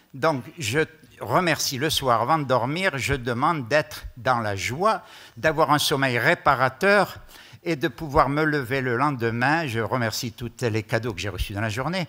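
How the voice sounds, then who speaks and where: This man has a bright, sharp tone and speaks at a fairly slow pace. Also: medium pitch for a man, lively intonation. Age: 70s. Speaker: conference speaker. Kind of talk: testimony.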